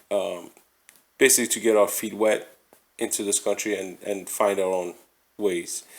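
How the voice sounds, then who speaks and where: The speaker is a man. He has a non-native accent. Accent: non-native English, slurred words. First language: not English. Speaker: podcast host. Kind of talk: casual chat. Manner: halting.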